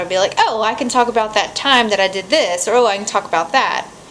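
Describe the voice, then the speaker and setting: The woman speaks fairly quickly with ordinary pitch variation while noticeable noise sounds in the background. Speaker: vlogger. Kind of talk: casual vlog to camera. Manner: fast; reading from outline notes.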